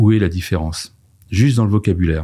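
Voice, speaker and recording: A man's very deep, low pitch in a dark, mellow tone, somewhat breathy, at a fairly quick pace with ordinary pitch variation, on a very clean recording with a silent background. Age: 50s. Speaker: diversity and inclusion consultant. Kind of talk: podcast interview.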